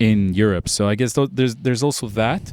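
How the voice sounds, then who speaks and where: Recorded very cleanly against a silent background, a man with an American accent speaks at medium pitch in a plain, everyday voice with ordinary pitch variation. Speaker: podcast host, classical composer. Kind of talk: casual chat. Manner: casual, filler-heavy.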